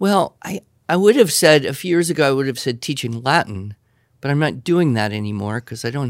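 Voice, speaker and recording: The recording is very clean, with a silent background. A man with an unremarkable speaking voice talks at a moderate pace and medium pitch, his intonation lively. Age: 50s. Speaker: writing teacher. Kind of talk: Q&A with students.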